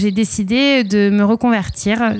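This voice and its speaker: This woman's voice sits at a medium pitch with a dark, mellow tone. Her intonation stays fairly even. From southwest France, Arcachon basin. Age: 30s. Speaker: winemaker. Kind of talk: interview testimony.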